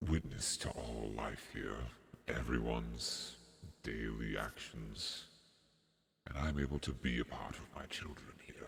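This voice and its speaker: Using a put-on character voice, a man speaks very deep and low at a fairly slow pace, with long, frequent pauses. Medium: actual play. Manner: slow, formal, grandfatherly.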